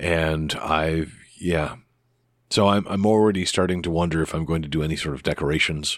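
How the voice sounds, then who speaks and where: Over a silent background in a very clean recording, a man with a very deep, low pitch speaks at a moderate pace with fairly even intonation. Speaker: podcast host. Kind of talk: solo casual podcast monologue. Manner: rambling, hesitant, with many fillers.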